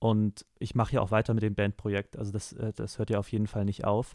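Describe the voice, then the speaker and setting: A man's dark, mellow tone at a fairly low pitch and moderate pace, in a dry, close sound with no echo on a very clean recording with a silent background. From Hamburg area, northern Germany. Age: 20s. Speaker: singer-songwriter and music student. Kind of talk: interview.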